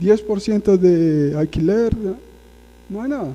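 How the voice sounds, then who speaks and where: A man speaks at a very slow pace in a high voice. His tone is dark and mellow, with ordinary pitch variation. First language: Portuguese (speaking Spanish). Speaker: guest preacher. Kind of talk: sermon. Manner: conversational, frequent tag questions.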